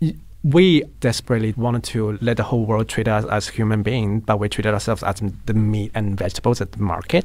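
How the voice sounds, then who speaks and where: A man speaks with a Chinese accent. His pace is very fast. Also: fairly low pitch for a man, ordinary pitch variation. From Chongqing, China. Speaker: queer film volunteer organizer. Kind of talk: interview.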